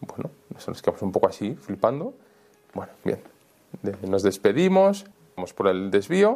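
Long, frequent pauses and big swings in loudness mark this man's speech. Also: moderate pace. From Spain (Valencia, Almería, Madrid). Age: young. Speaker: priest and author. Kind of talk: interview storytelling. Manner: casual, colloquial.

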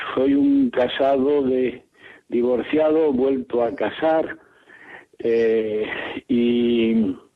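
This man has a medium-pitched voice and a fairly even intonation. His pace is very slow. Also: long, frequent pauses, very even loudness. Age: 70s. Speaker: radio caller. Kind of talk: phone-in question. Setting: phone call. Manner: halting.

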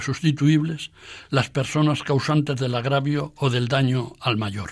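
Over a silent background on a very clean recording, a man talks fairly slowly and somewhat breathily, his fairly high pitch held in fairly even intonation. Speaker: radio program presenter and essayist. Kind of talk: scripted talk. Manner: formal.

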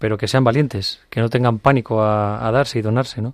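In a quiet background, a man talks at a moderate pace and medium pitch with monotone, flat intonation. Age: 40s. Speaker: industrial engineer, father. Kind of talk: testimony. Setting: studio. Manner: halting.

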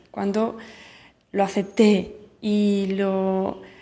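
Her tone dark and mellow, a woman speaks in a monotone, flat way. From Spain, Barcelona. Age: young. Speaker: missionary nun. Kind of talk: recorded testimony.

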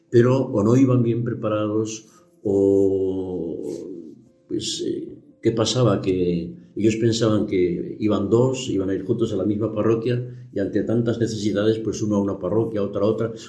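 A man at a fairly low pitch and fairly slow pace, with fairly even intonation, audible room echo and music in the background. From Aragon, Spain (Zaragoza). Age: 80s+. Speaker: missionary priest. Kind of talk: radio interview. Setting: studio.

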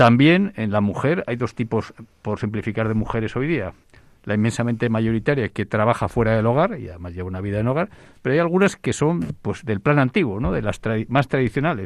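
Over a quiet background, a man at medium pitch talks at a fairly quick pace with lively intonation, an ordinary speaking voice. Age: 60s. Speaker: demography expert. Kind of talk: radio panel discussion.

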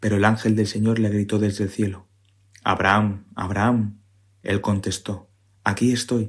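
A man's voice at a fairly low pitch. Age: 30s. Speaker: civil service exam candidate, parish community member. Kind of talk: scripture reading.

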